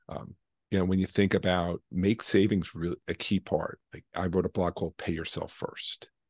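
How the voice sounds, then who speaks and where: A man talks at a moderate pace in a very deep, low voice with flat, monotone intonation. The sound is dry with no echo, and the background is quiet. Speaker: guest. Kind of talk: interview answer. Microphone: video call.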